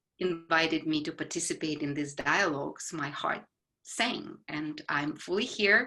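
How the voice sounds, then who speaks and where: A woman speaks at a very slow pace in a Ukrainian accent. Her tone is bright and sharp, with ordinary pitch variation. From Ukraine. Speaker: psychologist. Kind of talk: casual conversation. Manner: halting, with fillers.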